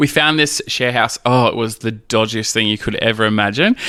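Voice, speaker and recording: A man with an Australian accent, a bright, sharp tone, ordinary pitch variation and a fairly quick pace. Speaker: drag queen and single dad. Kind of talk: casual interview chat.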